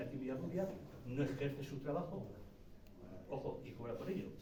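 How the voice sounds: This man speaks fast at a medium pitch, with audible room echo around him.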